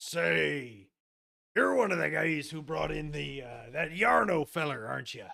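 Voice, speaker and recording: A man puts on a raspy character voice. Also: medium pitch for a man, moderate pace. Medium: actual play. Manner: gruff, informal.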